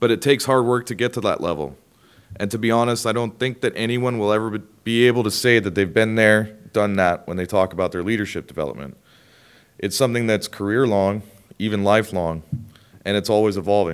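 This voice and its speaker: Over a quiet background, a man with a fairly low pitch speaks at a very fast pace with ordinary pitch variation. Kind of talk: prepared speech. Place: hall. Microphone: podium.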